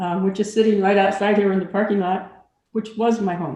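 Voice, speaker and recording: A woman's medium-pitched voice, dark and mellow in tone, with fairly even intonation and audible room echo. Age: 70s. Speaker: formerly homeless resident. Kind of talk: testimony.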